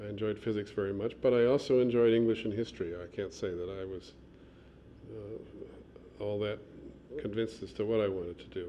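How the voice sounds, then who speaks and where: A man with a Midwestern accent speaks with a fairly low pitch. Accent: American Midwestern. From US Midwest, Chicago. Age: 60s. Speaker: archaeologist and museum administrator. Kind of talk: oral history interview. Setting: office. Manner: halting, many fillers.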